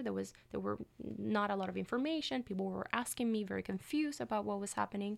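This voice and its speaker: On a very clean recording with a silent background, a woman talks at a fairly quick pace in a Puerto Rican accent. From Puerto Rico. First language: Spanish. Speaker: PhD student. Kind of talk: academic interview. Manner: hesitant, many fillers.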